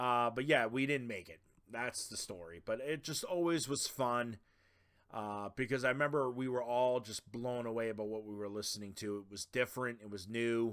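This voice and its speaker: A man speaks with a Boston accent at a moderate pace. His pitch sits in the medium range with ordinary variation. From Boston, Massachusetts. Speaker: podcast host. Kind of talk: casual podcast monologue. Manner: casual, filler-heavy.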